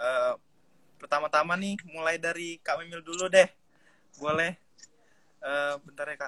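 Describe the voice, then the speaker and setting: A man's high-pitched voice at a fairly slow pace, fairly even in intonation but with big swings in loudness, long and frequent pauses, and a dry, close sound with no echo. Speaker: student event moderator. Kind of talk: moderating an online live session. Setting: online live video call from home.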